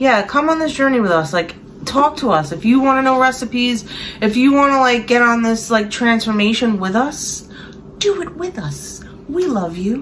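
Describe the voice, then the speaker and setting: Noticeable background noise accompanies a woman's high-pitched voice. She moves at a moderate pace, her pitch swinging very widely. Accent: Brooklyn. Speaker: online reseller and vlogger. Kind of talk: casual chat. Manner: emotional, rambling.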